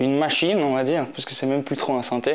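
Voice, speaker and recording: Noticeable background noise sits behind a man's voice. He has a fairly high pitch and ordinary pitch variation. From Switzerland, Geneva. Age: 20s. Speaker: electronic musician. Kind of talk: interview. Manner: halting, many fillers.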